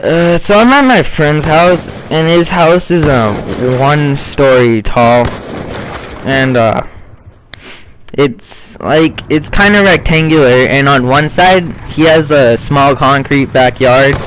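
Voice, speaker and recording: Over noticeable background noise, a man with a fairly high voice speaks very slowly with long, frequent pauses, very even loudness and ordinary pitch variation. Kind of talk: casual gameplay commentary.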